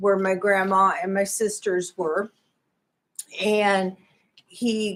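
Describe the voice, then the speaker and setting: A woman with a Midwestern American accent speaks at a very slow pace. Her tone is bright and sharp. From US Midwest, Indianapolis, Indiana. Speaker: church member giving testimony. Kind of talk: testimony.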